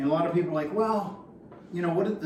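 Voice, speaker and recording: A man with an American accent, high pitch and ordinary pitch variation, amid audible room echo and noticeable background noise. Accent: Boston accent, comes out occasionally. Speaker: vinyl collector YouTuber. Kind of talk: tutorial. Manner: casual, hesitant with fillers.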